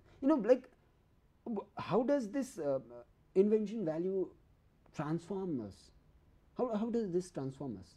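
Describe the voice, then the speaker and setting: The pace of this man's speech is fairly slow. Long pauses come often. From Nepal. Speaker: TV talk show host; interview guest. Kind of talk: TV interview. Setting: TV studio. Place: studio. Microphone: lapel.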